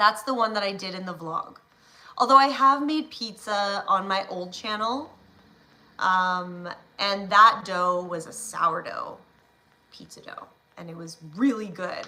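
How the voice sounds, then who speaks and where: Over noticeable background noise, a woman with a Canadian accent speaks at a fairly slow pace and medium pitch, with ordinary pitch variation. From Ontario, Canada. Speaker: live streamer. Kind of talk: casual chat. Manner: hesitant, filler-heavy.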